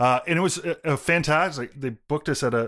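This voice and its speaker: With a Canadian accent and an unremarkable speaking voice, a man talks at a moderate pace with ordinary pitch variation. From Toronto suburbs, Canada. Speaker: electronic music composer. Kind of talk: interview. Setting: remote recording.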